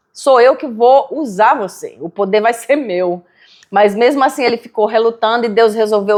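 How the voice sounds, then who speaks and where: A woman with a northeastern Brazilian accent speaks at a moderate pace with ordinary pitch variation. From Brazilian Northeast (Natal, Rio Grande do Norte). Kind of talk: casual chat.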